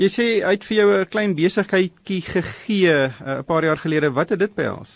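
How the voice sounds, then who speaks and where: A man's high pitch, ordinary pitch variation, and a dry sound with no echo. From South Africa. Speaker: radio presenter, financial journalist. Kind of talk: radio interview. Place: studio.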